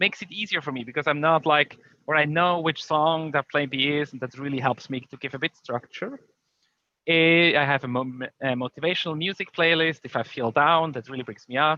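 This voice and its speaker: This man has a non-native accent and a fairly high pitch. His pitch moves in an ordinary way. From Switzerland. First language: not English. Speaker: conference speaker, tech company leader. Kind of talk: conference talk. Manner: hesitant, many fillers.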